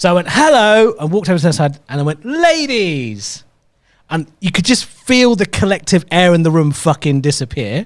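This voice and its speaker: In a London accent, the speaker's pitch swings very widely, captured in a very clean recording with a silent background. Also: man, high pitch for a man, moderate pace. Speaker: comedian. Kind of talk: casual chat.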